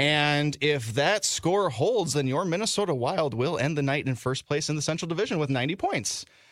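At a moderate pace, this man uses a normal speaking voice, fairly high in pitch, with lively intonation. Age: 20s. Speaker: sports podcast host and radio producer. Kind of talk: casual sports chat.

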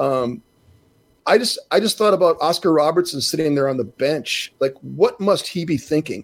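An ordinary speaking voice from a man with an American accent, fairly high in pitch, with lively intonation at a moderate pace. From Minnesota. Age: 60s. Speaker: basketball broadcaster and former NBA player. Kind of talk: casual chat.

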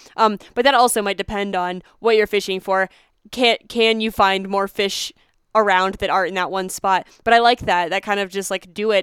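A woman with an American accent, monotone and flat in intonation, at a moderate pace. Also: medium pitch for a woman. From Pennsylvania. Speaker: podcast host. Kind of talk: interview.

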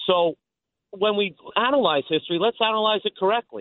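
In a New York accent, a man talks at a fairly quick pace. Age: 60s. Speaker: caller. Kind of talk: call-in talk radio.

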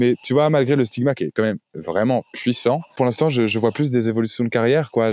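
This man talks fairly quickly, his pitch medium and its variation ordinary. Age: 20s. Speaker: sex worker and online activist. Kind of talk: casual interview. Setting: podcast interview. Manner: hesitant, repeats words.

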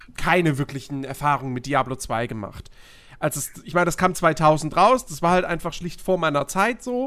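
Over a silent background in a very clean recording, a man talks at a moderate pace with a bright, sharp tone. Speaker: podcast host. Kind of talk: casual chat.

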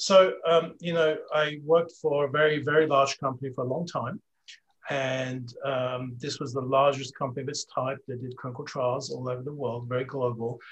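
A man speaks at a moderate pace, his voice fairly high and somewhat breathy. His intonation stays fairly even. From Switzerland and England.

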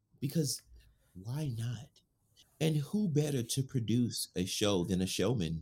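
A man speaks at a fairly slow pace with a somewhat breathy voice, his pitch swinging very widely, broken by long, frequent pauses. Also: medium pitch for a man. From New Orleans, Louisiana. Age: 30s. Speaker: actor and writer. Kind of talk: casual interview chat.

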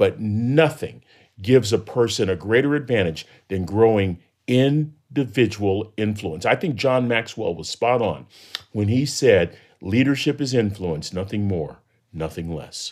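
On a very clean recording with a silent background, a normal speaking voice with an American accent moves at a fairly slow pace with lively intonation. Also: man. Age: 60s. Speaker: professor and motivational speaker. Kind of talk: interview conversation.

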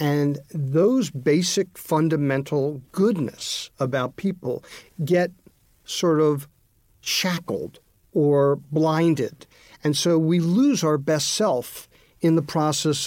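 Speaking at a very slow pace with very even loudness, a man with a fairly high voice shows ordinary pitch variation. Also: very clean recording, silent background. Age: 60s. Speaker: leadership author and consultant. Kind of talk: interview.

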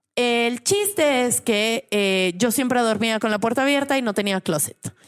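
An unremarkable speaking voice belongs to a woman with a fairly high pitch and ordinary pitch variation. She talks at a moderate pace in a very clean recording with a silent background. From Mexico, San Luis Potosí. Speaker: women's rights activist. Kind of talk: casual chat.

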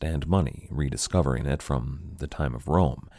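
A man's very deep, low, dark and mellow voice with vocal fry, at a moderate pace. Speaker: history podcast host. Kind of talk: dramatic narration of history, storytelling with gravitas. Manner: measured, earnest, expressive storyteller.

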